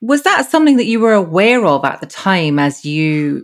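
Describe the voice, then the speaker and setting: A woman speaks at a moderate pace. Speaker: podcast host. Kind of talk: interview.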